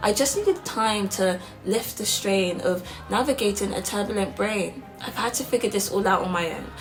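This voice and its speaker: Music plays behind a woman speaking at a moderate pace. Her pitch is medium, with ordinary variation. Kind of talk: spoken word poetry performance.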